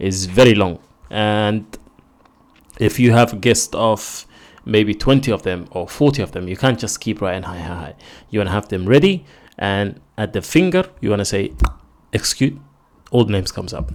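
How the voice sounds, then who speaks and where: A man with a non-native accent speaks at a fairly low pitch with ordinary pitch variation, big swings in loudness and long, frequent pauses. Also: moderate pace. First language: not English. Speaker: programming tutorial creator. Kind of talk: tutorial. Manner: casual. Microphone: new microphone.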